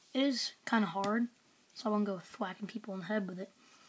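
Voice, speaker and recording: Fairly high-pitched, somewhat breathy woman's voice with fairly even intonation. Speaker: product reviewer. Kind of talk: product review. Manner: casual, hesitant with fillers.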